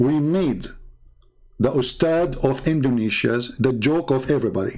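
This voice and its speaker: A man speaks with a fairly high pitch and a dark, mellow tone. His loudness stays very even. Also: ordinary pitch variation, moderate pace. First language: not English. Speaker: religious debater and live streamer. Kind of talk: live stream monologue. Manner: animated, confrontational.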